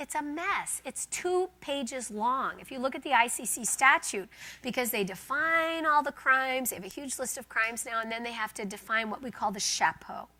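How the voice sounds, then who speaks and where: A woman raises and projects her high-pitched voice, bright and sharp in tone, with lively intonation at a fairly quick pace. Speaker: law professor. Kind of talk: lecture. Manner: fast.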